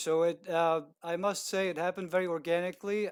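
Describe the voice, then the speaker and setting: Delivered at a moderate pace, the speech carries an Eastern European accent. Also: man. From Czech Republic. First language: Czech. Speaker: video producer. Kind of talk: interview. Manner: hesitant, many fillers.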